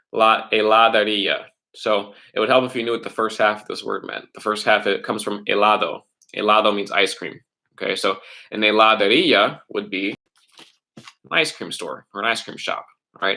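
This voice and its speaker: A man with a fairly low pitch and a bright, sharp tone speaks with fairly even intonation. His loudness swings widely, and he takes long, frequent pauses. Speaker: middle school Spanish teacher. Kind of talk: online class lesson. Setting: live stream online class. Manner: fast.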